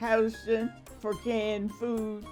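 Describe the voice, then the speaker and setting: Someone speaks at a very slow pace over music in the background. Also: woman. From rural Delaware, USA. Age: 80s+. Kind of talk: oral history interview answer.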